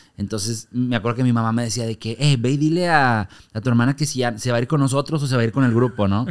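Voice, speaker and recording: A man rattles off his words at a very fast pace in a quiet background. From Monterrey, Mexico; Mexico. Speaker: comedian and stage actor; comedian, stage actor. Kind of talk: casual interview chat. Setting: studio. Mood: lively, amused storytelling. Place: studio. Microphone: studio mic.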